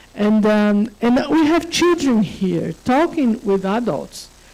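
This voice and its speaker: A woman speaks at a medium pitch and a very slow pace over noticeable background noise. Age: 60s. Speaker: conference panelist. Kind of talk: panel discussion.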